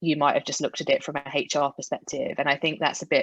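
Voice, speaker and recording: A British accent comes through with a dry, close sound, no echo and a quiet background. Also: woman. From UK. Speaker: HR executive. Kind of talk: panel discussion.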